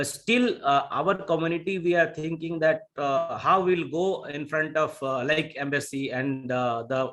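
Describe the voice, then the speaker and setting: With a Bihari accent, a man speaks at a fairly high pitch and a moderate pace, his pitch varying in an ordinary way. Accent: Indian English, Bihari. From India, Bihar. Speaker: Indian community organizer. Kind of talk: panel discussion. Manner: halting, many fillers.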